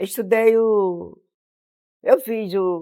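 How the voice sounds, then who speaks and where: A woman speaks at medium pitch with fairly even intonation. Her tone is dark and mellow. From Aldeia Forte, Paraíba, Brazil. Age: 80s+. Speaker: traditional midwife, former mayor and teacher. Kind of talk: interview answer.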